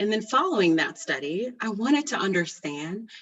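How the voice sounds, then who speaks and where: A woman with a plain, everyday voice speaks at a fairly high pitch. Her intonation is lively and her pace moderate. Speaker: physician researcher. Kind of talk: webinar presentation.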